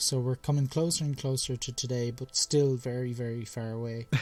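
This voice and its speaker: With music playing in the background, a man in an Irish accent speaks in a flat monotone. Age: young. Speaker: science podcast host. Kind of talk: casual chat.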